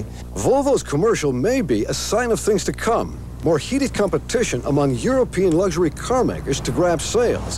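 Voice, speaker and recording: Over music in the background, a man keeps a moderate pace with hardly any pauses and very even loudness. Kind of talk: TV news report.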